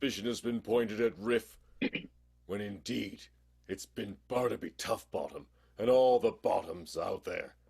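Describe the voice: A man's put-on character voice, fairly low with vocal fry, a slightly husky edge and a slightly mellow tone, with ordinary pitch variation and a fairly slow pace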